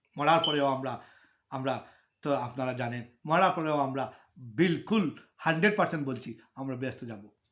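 A man with a normal speaking voice talks at a fairly high pitch, with ordinary pitch variation and big swings in loudness, on a very clean recording with a silent background. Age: 50s. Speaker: religious speaker. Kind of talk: religious talk to viewers.

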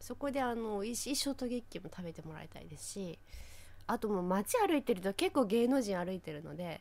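A woman talks at a fairly quick pace with lively intonation. Her loudness swings widely. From Fukushima, Japan. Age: 30s. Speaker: local TV announcer, podcast co-host. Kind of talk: casual chat. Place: studio.

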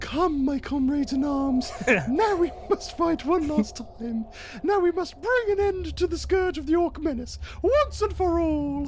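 A high-pitched voice speaks at a moderate pace over clear background noise. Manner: rousing battle speech.

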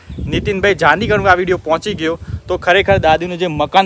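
Fairly even intonation from a male speaker, with noticeable noise behind him. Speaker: vlogger. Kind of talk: casual vlog narration.

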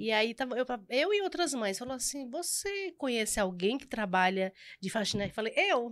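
A woman speaks at a moderate pace with a high pitch. Her pitch swings very widely against a quiet background. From Pernambuco, rural area near Garanhuns; Pernambuco, Brazil. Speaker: pastry cook and entrepreneur; podcast guest. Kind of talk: casual interview chat. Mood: warm, lively, at times emotional. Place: studio. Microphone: studio mic.

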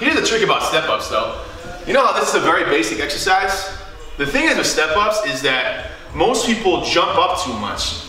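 A man talks at a fairly quick pace in a room with audible echo while faint music plays in the background. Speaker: fitness trainer. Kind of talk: tutorial. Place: home room.

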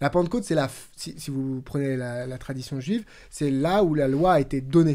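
A man speaks at a moderate pace with a fairly high pitch, his tone dark and mellow. The background is quiet. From New Caledonia, moved to France at 13. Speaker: podcast co-host. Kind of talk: Bible study discussion. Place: studio. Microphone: studio mic.

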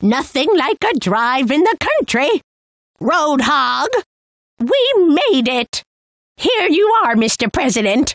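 Putting on a character voice, a woman speaks high with very wide pitch swings, at a fairly slow pace with long, frequent pauses and very even loudness, the sound dry and close with no echo. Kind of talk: video game character lines. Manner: excitable, exclamatory.

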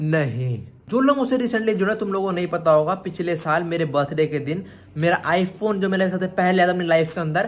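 Speaking at a high pitch, a man uses an animated tone with ordinary pitch variation at a moderate pace. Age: 20s. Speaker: vlogger. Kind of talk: casual Q&A vlog; talking to pet dog. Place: home room. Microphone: phone near.

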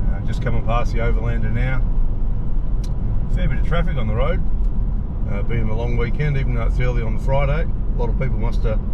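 A man rattles off his words very fast over loud background noise. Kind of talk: casual vlog chat. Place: car. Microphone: camera far.

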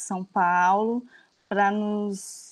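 A woman speaks against a quiet background. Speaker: course moderator, professor. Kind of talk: moderating, introduction. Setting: video call. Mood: warm, welcoming. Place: home room. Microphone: video call.

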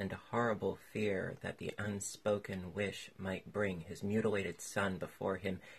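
Here the delivery is plain reading aloud.

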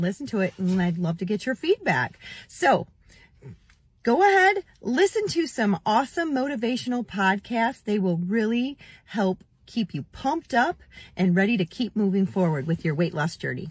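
A woman speaks at a moderate pace, her voice somewhat breathy. The sound is dry with no echo. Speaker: weight loss vlogger. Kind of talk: casual vlog chat. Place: car. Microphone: phone near.

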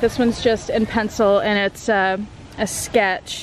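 The woman's voice sounds dry with no echo, with light background noise behind it. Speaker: vlogger. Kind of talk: casual vlog chat. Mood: self-conscious, chatty. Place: waterside. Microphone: phone near.

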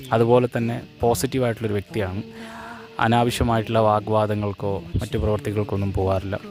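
With music playing in the background, a man speaks in a fairly low voice with fairly even intonation. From Wayanad, Kerala, India. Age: 30s. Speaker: tuition teacher; public speaker and event announcer. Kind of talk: matrimonial self-introduction to camera.

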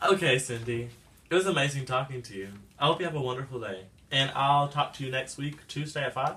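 At a very fast pace, a man with an American accent speaks in a bright, sharp tone at medium pitch, with ordinary pitch variation and big swings in loudness. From Texas. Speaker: college student mentor. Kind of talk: role-play phone call. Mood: friendly, encouraging. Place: home room.

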